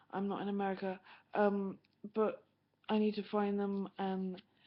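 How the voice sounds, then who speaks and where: At a moderate pace, a woman speaks at a medium pitch with a British accent. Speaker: vlogger and mother of twins. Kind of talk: webcam vlog monologue. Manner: monotone; halting.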